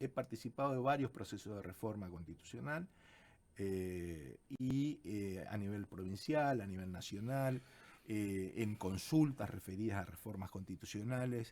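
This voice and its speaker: Using an ordinary speaking voice, a man talks fairly slowly at a fairly low pitch with lively intonation. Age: 60s. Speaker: constitutional lawyer. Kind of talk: radio interview.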